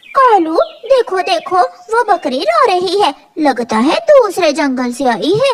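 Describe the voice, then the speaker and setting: In a cartoonish character voice, a woman speaks at a fairly slow pace, her extremely high pitch swinging very widely. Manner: sweetly manipulative.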